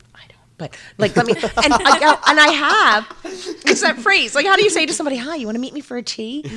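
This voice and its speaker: A woman with an American accent, high in pitch, with very wide pitch swings and big swings in loudness. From US Northeast, Pennsylvania near Philadelphia. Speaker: city council candidate. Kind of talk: casual interview. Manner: halting, many fillers.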